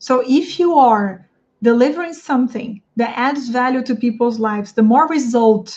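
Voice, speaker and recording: A woman speaks with a Portuguese accent. Her pitch is high. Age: 30s. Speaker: English teacher coach. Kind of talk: livestream talk to viewers. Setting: live stream on YouTube and Instagram.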